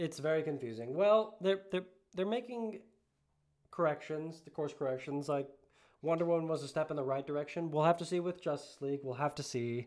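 A man talks at a fairly quick pace in a normal speaking voice. His fairly high pitch shows ordinary variation. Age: 20s. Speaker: podcast co-host. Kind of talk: casual chat.

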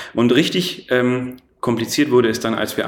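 A man speaks with a slight Franconian accent and ordinary pitch variation. The recording has audible room echo and noticeable background noise. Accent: faint Franconian. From Franconia, Germany (Erlangen). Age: 30s. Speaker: entrepreneur. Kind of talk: interview. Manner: many filler sounds (äh, ähm); energetic.

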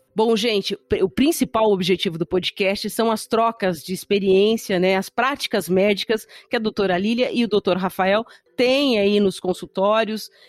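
A woman speaks at a moderate pace in a plain, everyday voice, her medium pitch showing ordinary variation. Her loudness stays very even, and the sound is dry and close with no echo. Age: 50s. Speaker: podcast host. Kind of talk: podcast interview.

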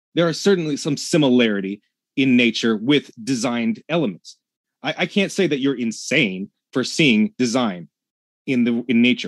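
Lively in intonation, a man with an unremarkable speaking voice and medium pitch talks at a moderate pace, with a dry, close sound, no echo and a quiet background. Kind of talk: heated debate.

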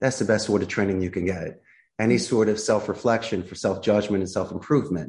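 Speaking fairly quickly with a Philadelphia accent, a man uses a fairly low pitch and ordinary pitch variation. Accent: Philadelphia American. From US Northeast, Philadelphia. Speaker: call center CEO. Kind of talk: interview.

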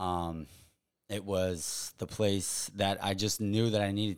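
A man's very deep, low voice with an American accent, fairly even intonation, and a very clean recording over a silent background. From Long Island, New York (East Hampton). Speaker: professional photographer. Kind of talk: casual chat.

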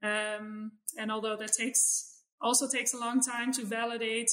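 With a Dutch accent, a woman speaks at a fairly slow pace and a fairly high pitch. Her tone is bright and sharp, her intonation monotone and flat. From Netherlands. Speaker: animal welfare scientist. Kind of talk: interview.

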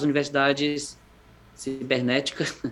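A man with a fairly high pitch. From Brazil, Fortaleza (Ceará). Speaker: educator living abroad. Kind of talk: interview conversation. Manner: halting, with many repetitions.

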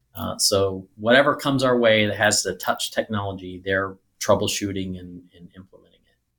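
A man with an ordinary speaking voice talks at a moderate pace in a fairly low pitch, with ordinary pitch variation and hardly any pauses. His loudness swings widely in a very clean recording with a silent background. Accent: American. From US Midwest (rural Missouri). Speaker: IT executive and army veteran. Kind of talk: interview.

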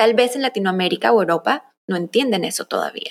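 A woman at a moderate pace with an unremarkable speaking voice. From Colombia, raised in the US from early childhood. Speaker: content strategist and agency founder. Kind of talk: casual interview chat.

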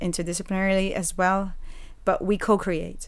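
A woman speaks at a medium pitch in a flat, monotone delivery, with echo from the room clearly audible. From Puerto Rico. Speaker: dance lecturer and dance movement therapist. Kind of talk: casual interview.

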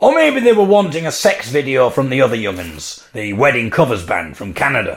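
Speaking at a moderate pace, a man with an English accent takes a playful tone. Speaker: podcaster and musician. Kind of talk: solo monologue storytelling.

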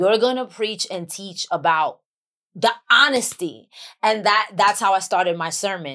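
A woman with a New York accent speaks at medium pitch. Her pace is fairly slow and her tone is bright and sharp. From Bronx, New York. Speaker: actress and author. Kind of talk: casual podcast interview.

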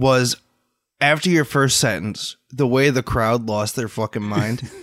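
A man's plain, everyday voice at medium pitch, dry and close with no echo. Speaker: podcast co-host. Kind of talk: casual banter podcast. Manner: playful, laughs often.

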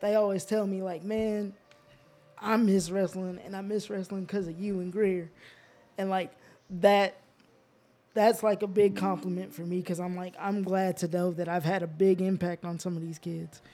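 Speaking in a high pitch with a dark, mellow tone, a man with a slight Southern US accent keeps a flat, monotone delivery broken by long, frequent pauses. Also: moderate pace. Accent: slight Southern country twang. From US South, Georgia (moved from Alaska as a child). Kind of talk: casual chat. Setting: studio.

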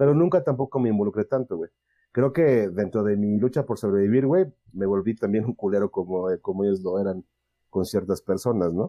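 A man speaks in a Mexican accent at a fairly quick pace. His pitch is fairly low, with ordinary variation. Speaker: podcast host. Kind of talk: casual chat.

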